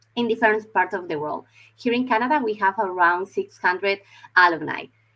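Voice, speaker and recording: A woman with a Spanish accent speaks at a fairly quick pace, her medium pitch carrying a bright, sharp tone and ordinary variation. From Spain, Madrid. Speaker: university recruitment representative. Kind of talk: online information session presentation. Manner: halting, with filler words and repetitions.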